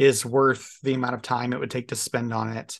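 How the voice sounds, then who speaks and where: Here is a man with an ordinary speaking voice at a medium pitch. He speaks at a moderate pace against a quiet background. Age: 30s. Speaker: podcast co-host, parent. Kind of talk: casual chat.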